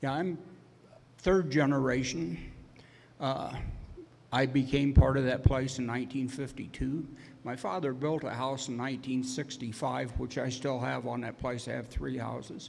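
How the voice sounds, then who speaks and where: The speaker has an American accent and vocal fry, with fairly even intonation at a moderate pace. Long pauses come often, and the room echo is audible. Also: man, medium pitch for a man. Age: 70s. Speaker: landowner. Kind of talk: public hearing testimony. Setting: public hearing.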